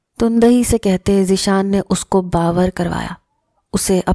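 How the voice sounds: This is a natural reading voice recorded against a quiet background.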